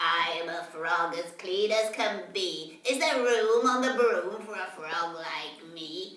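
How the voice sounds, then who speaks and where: A female-sounding voice, put on as a character and croaky, speaks fairly slowly at a middle pitch with a slight echo. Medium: read story.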